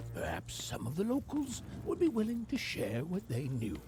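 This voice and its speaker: A put-on character voice over loud background music. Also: moderate pace. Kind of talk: fairy-tale narration. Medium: video game.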